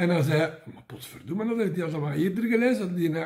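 A man with a Flemish accent and very wide pitch swings, against a quiet background. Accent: Mechelen dialect. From Mechelen, Belgium. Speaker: comic book vlogger. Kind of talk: casual talk to camera. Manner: humorous, rambling. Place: home room. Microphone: phone near.

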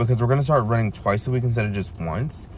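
The voice is somewhat breathy, with light background noise. The sound is dry, with no echo. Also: man. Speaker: vlogger. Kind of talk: casual vlog chat. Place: car. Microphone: phone near.

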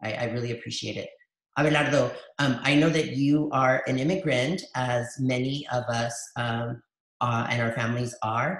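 The speaker talks at a moderate pace with an American accent and fairly even intonation. There is audible room echo against a quiet background. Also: man, medium pitch for a man. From El Paso, Texas; Texas. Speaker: dual language educator and webinar host; facilitator, educator. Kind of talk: live webinar conversation. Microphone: video call.

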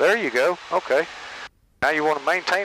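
Fairly quick speech comes from a man. The sound is dry with no echo, but background noise is noticeable. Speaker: volunteer pilot instructor. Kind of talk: flight instruction. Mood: encouraging, patient. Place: plane. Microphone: headset.

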